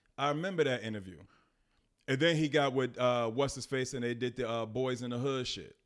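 On a very clean recording with a silent background, a man talks fairly quickly at a medium pitch with ordinary pitch variation. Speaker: podcast co-host. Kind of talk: casual chat. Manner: soft-spoken.

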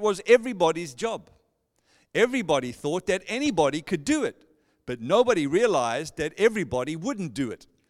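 A man with a South African accent speaks in a high pitch at a fairly quick pace. His pitch swings very widely, and the recording is very clean with a silent background. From South Africa, Johannesburg. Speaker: pastor. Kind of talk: sermon. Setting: church. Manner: warm, personable.

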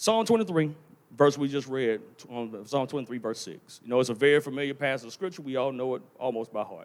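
A man speaks in a plain, everyday voice at a fairly high pitch. His pace is fairly quick and his intonation lively. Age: 30s. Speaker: preacher. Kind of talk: sermon. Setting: church sanctuary.

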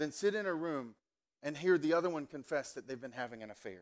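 A man speaks with an American accent, his pitch swinging very widely. The recording is very clean, with a silent background. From US South. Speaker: pastor. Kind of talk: sermon. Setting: church. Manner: casual, conversational.

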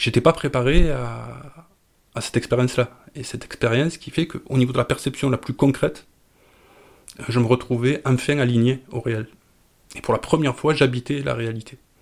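A man talks at a medium pitch with vocal fry and big swings in loudness. He leaves long, frequent pauses. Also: fairly even intonation, moderate pace. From southern France, Marseille suburbs. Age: 50s. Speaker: psychedelic drug user. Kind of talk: personal testimony. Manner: halting, repeats words.

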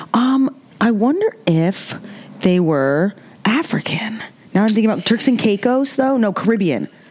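Speech at a moderate pace, with noticeable background noise. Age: 30s. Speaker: screenwriter. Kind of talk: casual chat.

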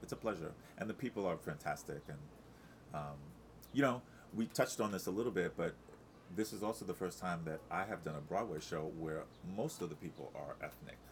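A man with a very deep, low pitch and an American accent, with long, frequent pauses. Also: lively intonation, fairly quick pace. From Long Island, New York. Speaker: Broadway ensemble performer. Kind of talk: casual interview chat.

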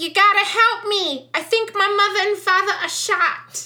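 In a put-on character voice with a Long Island accent, a woman shouts at an extremely high pitch and a moderate pace. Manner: yelling, panicked.

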